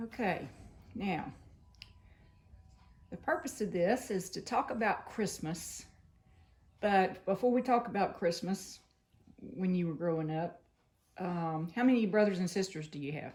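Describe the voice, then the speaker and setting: A somewhat breathy woman at a medium pitch, with lively intonation, a fairly slow pace, and long, frequent pauses. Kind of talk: interviewer questions.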